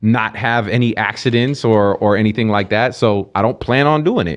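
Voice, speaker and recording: A man with an American accent has an ordinary speaking voice, pitched fairly low with ordinary variation. The background is quiet. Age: 40s. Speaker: podcast co-host. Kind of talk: casual chat.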